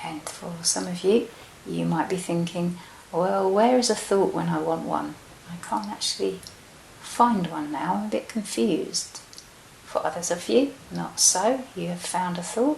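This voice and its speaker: Against noticeable background noise, a soft-spoken woman with an English accent talks at a fairly slow pace in a calm tone. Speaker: meditation guide. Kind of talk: guided meditation. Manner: soft-spoken, slow, calm.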